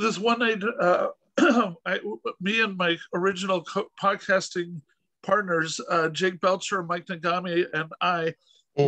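Against a quiet background, a man's raised, projected voice sounds bright and sharp, fairly slow with fairly even intonation, and dry with no echo. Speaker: podcast host interviewer. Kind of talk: casual interview storytelling. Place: home room. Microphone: video call.

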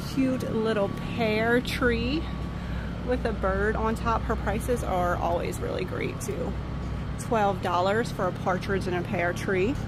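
At a fairly slow pace, a woman talks in a dry sound with no echo over loud background noise. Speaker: thrift shopper vlogger. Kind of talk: casual vlog chat. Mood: excited, cheerful. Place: market. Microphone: phone near.

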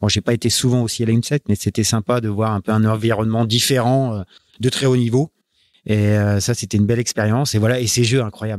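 With a dry, close sound that has no echo, a man talks at a fairly quick pace, his loudness very even and his intonation monotone and flat. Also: medium pitch for a man. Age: 40s. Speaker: offshore sailing skipper. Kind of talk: interview. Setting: team premises. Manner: halting.

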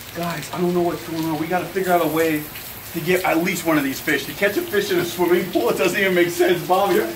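Over noticeable background noise, a man talks at a very fast pace in a high pitch. His intonation is monotone and flat. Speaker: fishing channel host. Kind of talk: casual vlog chat. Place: garden.

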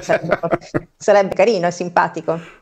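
The background is quiet. A woman speaks at a fairly low pitch with fairly even intonation. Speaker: co-host commentator. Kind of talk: news commentary. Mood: ironic, opinionated. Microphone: video call.

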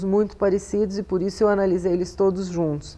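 A woman speaks with a dark, mellow tone. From Brazil, São Paulo city. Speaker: anthropologist; interviewee. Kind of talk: interview. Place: home room. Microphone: lapel.

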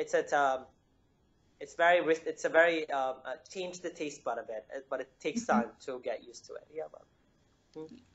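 Moving at a fairly quick pace, a man speaks with big swings in loudness and long, frequent pauses. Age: 20s. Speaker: engineer and healthy-living author; interviewee. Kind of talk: interview. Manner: halting, many fillers. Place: home room. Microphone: video call.

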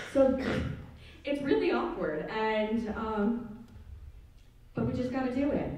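A woman's fairly high voice at a very slow pace, with lively intonation, long, frequent pauses and audible room echo. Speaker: student stand-up comedian. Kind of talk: stand-up comedy. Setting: stage with audience. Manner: animated, raunchy, self-deprecating. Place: stage.

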